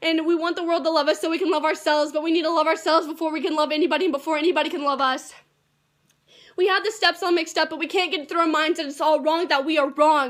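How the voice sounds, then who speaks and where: Very fast and monotone, a woman speaks at an extremely high pitch with flat intonation. The recording is very clean, with a silent background. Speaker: beginner slam poet. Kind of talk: slam poetry performance.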